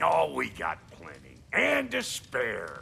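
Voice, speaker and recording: A man's raspy, put-on character voice at a very slow pace, over clear background noise. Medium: video game. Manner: blunt, clipped, slangy.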